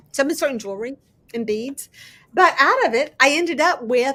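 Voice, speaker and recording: A woman's raised, projected voice with a bright, sharp tone and lively intonation. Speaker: crafting YouTuber. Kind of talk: casual chat. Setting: live stream. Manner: fast; loud.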